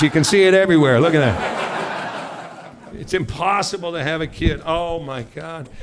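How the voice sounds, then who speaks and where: Loud and animated, a man speaks in an American accent at a high pitch and moderate pace with ordinary pitch variation, with audible room echo and noticeable background noise. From US Pacific Northwest, Seattle. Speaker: comedian. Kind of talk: stand-up. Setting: stage with audience.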